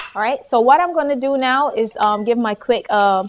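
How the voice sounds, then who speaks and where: Over noticeable background noise, a woman with a slight Barbadian accent talks at a fairly quick pace and a fairly high pitch. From Barbados. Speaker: cooking show host. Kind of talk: cooking demonstration. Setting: studio kitchen. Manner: casual, chatty.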